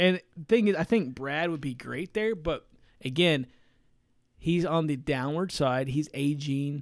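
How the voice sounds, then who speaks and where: Here a man with an American accent speaks at a fairly slow pace. His voice is fairly high, with ordinary pitch variation. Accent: regional American accent noticed abroad. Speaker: motorsport podcast co-host. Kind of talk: casual chat.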